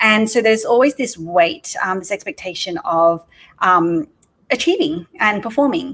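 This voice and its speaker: With an Australian accent, a woman talks at a moderate pace in a fairly high pitch that makes very wide swings. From Australia (Sydney). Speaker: entrepreneur. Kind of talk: podcast interview. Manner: casual, many filler words.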